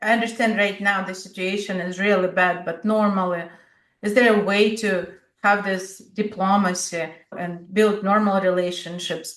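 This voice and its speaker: A woman's medium-pitched voice in a Russian accent, monotone and flat, at a moderate pace, with audible room echo. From Siberia, Russia. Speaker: podcast host. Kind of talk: interview.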